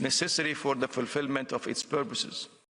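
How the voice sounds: A man talks at a medium pitch. His intonation stays fairly even. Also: fairly bright tone.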